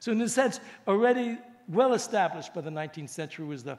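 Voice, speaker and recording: Lively intonation carries a man's speech at a fairly quick pace. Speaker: professor. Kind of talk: lecture. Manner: halting.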